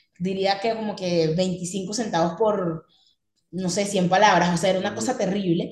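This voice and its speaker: A somewhat breathy woman's voice at medium pitch and moderate pace, with ordinary pitch variation. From Venezuela. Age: 20s. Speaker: copywriter and digital marketer. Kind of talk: podcast interview.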